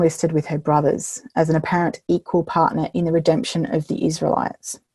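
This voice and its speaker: Talking at a fairly quick pace, a woman with a fairly low pitch is heard in a dry, close sound with no echo. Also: hardly any pauses. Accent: Australian. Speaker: minister and biblical storyteller. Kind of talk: keynote lecture. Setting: online video recording. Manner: hesitant with many fillers.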